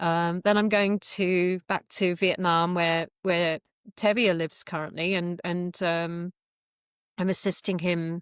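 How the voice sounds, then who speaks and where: Recorded very cleanly against a silent background with a dry, close sound and no echo, a woman with an English accent speaks at a fairly slow pace, pitched fairly low, with fairly even intonation. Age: 50s. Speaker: qigong instructor. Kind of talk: interview. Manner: hesitant, many fillers.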